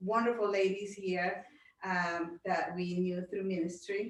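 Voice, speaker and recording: At a very slow pace, a woman with a Spanish accent speaks at medium pitch with fairly even intonation. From Honduras. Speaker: pastor's wife and direct sales distributor. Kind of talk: self-introduction at a group meeting.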